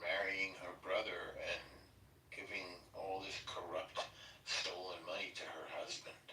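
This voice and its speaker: Against noticeable background noise and audible room echo, a man with an American accent talks at a fairly slow pace with long, frequent pauses. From Chicago, US Midwest. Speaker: political livestream host. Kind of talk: casual chat.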